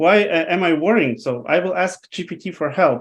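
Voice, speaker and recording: A man with a non-native accent speaks at a fairly slow pace with lively intonation. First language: not English. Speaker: webinar presenter. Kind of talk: live presentation. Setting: online webinar with screen share. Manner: halting, many fillers.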